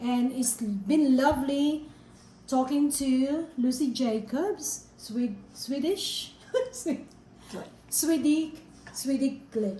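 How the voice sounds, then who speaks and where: Audible room echo surrounds a woman with a high pitch and ordinary pitch variation. She talks at a very slow pace, with long, frequent pauses. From Philippines. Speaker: vlogger. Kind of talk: casual interview.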